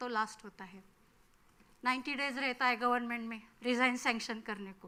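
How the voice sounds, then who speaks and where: Here a woman speaks with a Marathi accent. Her voice is high-pitched, with a bright, sharp tone. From Maharashtra, Marathwada (Beed district). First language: Marathi (speaking Hindi). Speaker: forest field officer. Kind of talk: workshop talk.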